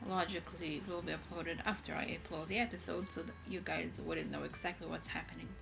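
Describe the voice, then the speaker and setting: Fairly quick speech with hardly any pauses, audible room echo and music in the background. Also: woman. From Israel. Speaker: content creator. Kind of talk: casual vlog. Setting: home, bedroom.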